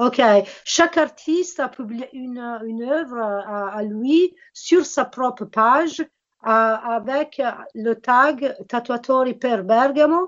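A woman speaks at a very slow pace with a high pitch and ordinary pitch variation. Her loudness swings widely. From Italy. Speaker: volunteer interpreter. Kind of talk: interview interpreting. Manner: halting.

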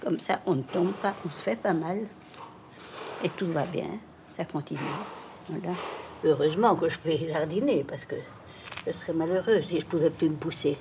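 The speaker leaves long, frequent pauses and uses ordinary pitch variation. Noticeable background noise sits under the voice. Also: woman, fairly low pitch for a woman, moderate pace. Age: old. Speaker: older woman interviewed about aging. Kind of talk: documentary interview.

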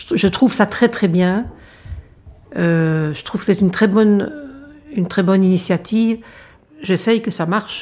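Speaking fairly slowly, this woman lets her pitch vary in an ordinary way. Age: 60s. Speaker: retired general practitioner. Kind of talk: testimony.

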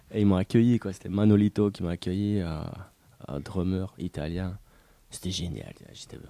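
A man's very deep, low voice, dark and mellow, at a moderate pace with fairly even intonation, big swings in loudness and long, frequent pauses. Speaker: former squatter. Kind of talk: testimony.

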